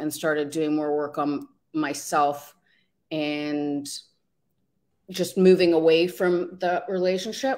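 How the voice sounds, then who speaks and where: A woman speaks at a fairly slow pace. Her pitch is fairly low. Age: 50s. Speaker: life coach. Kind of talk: interview. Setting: online video livestream. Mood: reflective, personal story. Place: home room.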